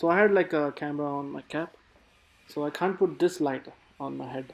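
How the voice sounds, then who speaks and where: He has an unremarkable speaking voice, fairly high for a man, and his pitch varies in an ordinary way. The pace is fairly quick. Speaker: HVAC technician. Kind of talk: casual on-the-job explanation. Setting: construction site.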